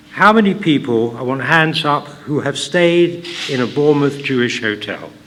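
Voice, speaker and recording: A man with a fairly high voice talks at a moderate pace with ordinary pitch variation, over noticeable background noise and audible room echo. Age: 80s+. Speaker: hotelier and local history speaker. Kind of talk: public talk. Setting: hall with live audience. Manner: conversational, halting.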